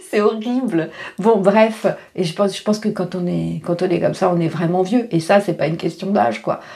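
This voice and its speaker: A woman speaks at a moderate pace in a medium-pitched voice with ordinary pitch variation. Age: 50s. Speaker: life coach and vlogger. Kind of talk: casual vlog monologue. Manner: halting, many fillers.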